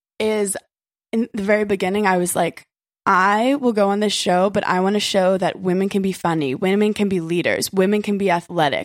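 Here is a woman with an ordinary speaking voice and an American accent, pitched in the middle range. She talks at a fairly quick pace with fairly even intonation and very even loudness. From Brooklyn, New York. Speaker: reality TV personality. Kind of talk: casual chat. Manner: casual, filler-heavy.

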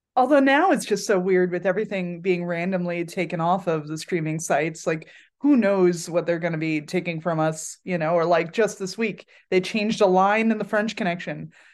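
Against a quiet background, an ordinary speaking voice with an American accent moves at a moderate pace with ordinary pitch variation. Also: woman, fairly low pitch for a woman. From Pennsylvania, Pocono Mountains. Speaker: musician. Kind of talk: casual chat.

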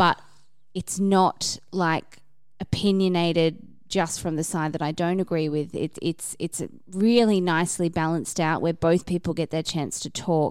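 The speaker has an ordinary speaking voice, with fairly even intonation at a moderate pace, in a very clean recording with a silent background. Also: woman, fairly low pitch for a woman. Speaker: podcast reviewer. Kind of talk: casual chat.

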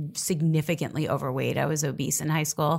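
Talking at a fairly quick pace, a woman with an American accent has a very deep, low pitch and ordinary pitch variation. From Staten Island, New York. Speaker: reality TV personality. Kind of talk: interview.

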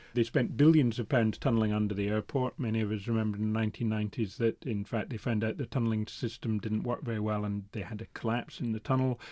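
Someone with a Scottish accent speaks at a very fast pace with hardly any pauses, fairly even intonation, and a dark, mellow tone. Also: man, medium pitch for a man. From Scotland. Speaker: newspaper reporter. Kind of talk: interview.

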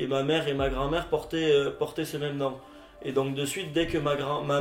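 Noticeable background noise sits under a man talking with a fairly high pitch and monotone, flat intonation. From French Basque Country. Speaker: young Basque interviewee. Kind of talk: documentary interview testimony.

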